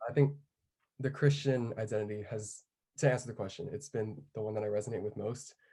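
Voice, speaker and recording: A man with an American accent, somewhat breathy, medium-pitched and dark, mellow in tone, at a fairly quick pace with ordinary pitch variation. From US, Japanese American community. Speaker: college student panelist. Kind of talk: panel discussion.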